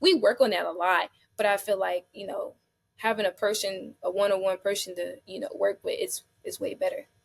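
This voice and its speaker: A woman with an American accent talks at a fairly quick pace, with big swings in loudness. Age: 20s. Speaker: foster care advocate. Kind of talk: interview answer.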